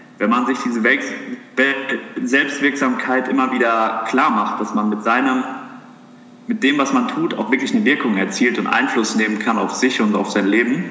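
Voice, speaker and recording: Noticeable background noise and audible room echo surround a man speaking at a medium pitch. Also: ordinary pitch variation, moderate pace. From Germany, southern Hesse (Heppenheim near Darmstadt). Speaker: medical student. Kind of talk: casual interview chat.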